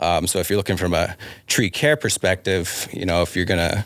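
A man talks at a moderate pace, his pitch very deep and low. His intonation is fairly even, with noticeable background noise. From Wyoming, Sheridan area. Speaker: city arborist. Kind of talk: casual interview. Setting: studio.

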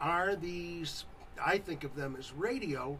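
A man speaks at a very slow pace. There is noticeable background noise. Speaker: radio co-host. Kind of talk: casual banter. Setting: studio.

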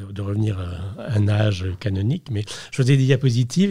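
Somewhat breathy, with a dark, mellow tone, a man speaks in a fairly low pitch with ordinary pitch variation on a very clean recording with a silent background. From Brittany, France (Brest). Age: 60s. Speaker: portrait photographer. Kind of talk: interview. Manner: halting, repeats words.

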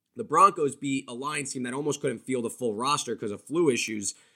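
Speaking at a very fast pace, a man with an American accent has a bright, sharp tone at a medium pitch. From New Jersey. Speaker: sports betting editor. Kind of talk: casual chat.

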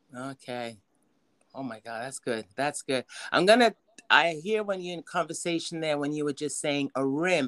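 A woman speaks at a moderate pace in a very deep, low pitch. The sound is dry and close, with no echo. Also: lively intonation. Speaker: podcast host. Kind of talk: casual interview chat. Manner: warm, affectionate.

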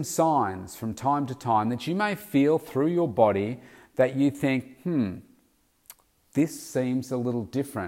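A man with a medium pitch talks very slowly with lively intonation, in a very clean recording with a silent background. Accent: Australian. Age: 50s. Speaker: weight loss coach. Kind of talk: solo podcast monologue.

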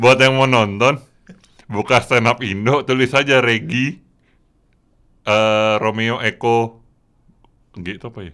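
Very slow, bright, sharp-toned man at medium pitch, with fairly even intonation, long, frequent pauses and big swings in loudness. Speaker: podcast host and stand-up comedian. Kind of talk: casual chat. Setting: studio.

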